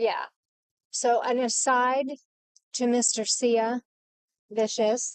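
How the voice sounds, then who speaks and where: Shouting at a high pitch, a woman speaks at a very slow pace with long, frequent pauses and monotone, flat intonation. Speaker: podcast co-host. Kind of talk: casual chat. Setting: in a car. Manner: soft-spoken; practically yelling into the mic.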